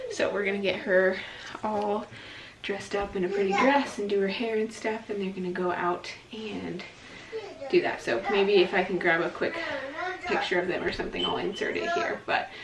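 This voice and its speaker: A soft-spoken woman with ordinary pitch variation leaves long, frequent pauses, with audible room echo and noticeable background noise around her. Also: medium pitch for a woman, moderate pace. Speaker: homesteading vlogger and mother. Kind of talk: casual vlog narration. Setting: at home in kitchen.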